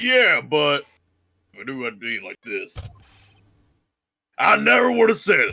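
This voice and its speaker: In a put-on character voice, a man speaks at a moderate pace with long, frequent pauses and big swings in loudness. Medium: game stream. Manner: gruff, casual.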